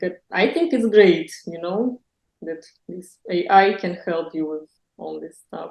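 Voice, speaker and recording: A woman with a Russian accent, lively intonation and a dark, mellow tone. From Russia, Moscow. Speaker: blogger. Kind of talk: interview. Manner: halting, frequent hesitations.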